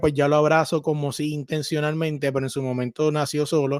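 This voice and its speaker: A man with a Puerto Rican accent talks at a fairly high pitch. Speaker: sports podcaster. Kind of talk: casual interview. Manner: repetitive, stammering.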